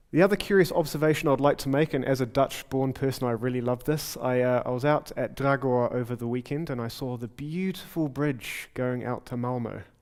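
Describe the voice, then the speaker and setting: A man with a medium-pitched voice talks fairly quickly, his pitch varying in an ordinary way. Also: hardly any pauses. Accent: New Zealand. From New Zealand. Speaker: software developer and conference speaker. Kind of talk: conference talk. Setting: stage with audience. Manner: fast.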